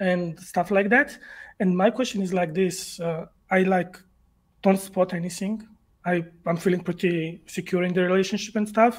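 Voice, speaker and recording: A man with a Georgian accent talks at a high pitch and moderate pace, his intonation fairly even. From Georgia (country). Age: 20s. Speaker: caller. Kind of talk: call-in question. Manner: halting.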